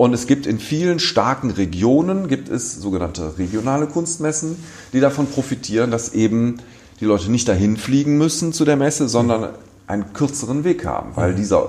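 A man talks at a moderate pace with a medium pitch. His voice makes very wide pitch swings. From Düsseldorf, Germany. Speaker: art fair director. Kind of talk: interview. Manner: relaxed.

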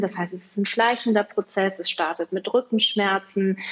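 A woman is speaking. Her pitch is medium. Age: 40s. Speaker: health project organizer. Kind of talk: interview.

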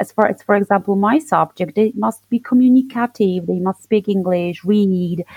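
A woman speaks at a fairly slow pace and a medium pitch, with a Polish accent. The sound is dry and close, with no echo. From southern Poland. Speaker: English teacher. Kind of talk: interview.

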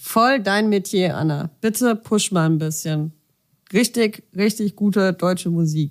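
Delivered at a very slow pace, the speech holds very even loudness with ordinary pitch variation. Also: woman, medium pitch for a woman. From southern Germany. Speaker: podcast co-host. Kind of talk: casual chat. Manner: animated.

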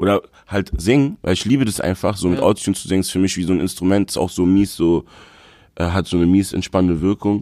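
Very fast and very deep, a man talks in a dark, mellow tone, captured dry and close with no echo. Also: ordinary pitch variation, very clean recording, silent background. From Berlin (Moabit). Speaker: rapper and producer. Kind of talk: casual interview.

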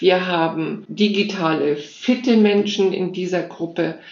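A woman speaks at a medium pitch and a fairly slow pace, with ordinary pitch variation. Noticeable background noise and audible room echo surround her voice. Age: 60s. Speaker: nonprofit founder and digital educator for seniors. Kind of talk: interview.

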